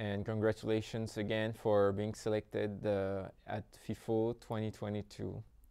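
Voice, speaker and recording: A man with a French accent speaks in a fairly low pitch and a dark, mellow tone. His intonation is monotone and flat, and the background is quiet. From French Polynesia. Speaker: festival interviewer. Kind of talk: interview. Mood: polite, slightly hesitant. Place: hall. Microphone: lapel.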